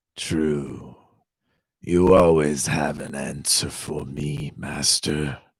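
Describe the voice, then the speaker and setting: A man puts on a character voice with a very deep, low pitch. He speaks very slowly with monotone, flat intonation. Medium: read story. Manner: solemn, formal.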